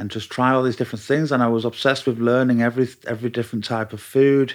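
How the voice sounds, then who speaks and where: On a very clean recording with a silent background, a man speaks in a Mancunian accent with monotone, flat intonation. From Manchester, northern England. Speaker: chef. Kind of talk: casual chat. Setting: host's home.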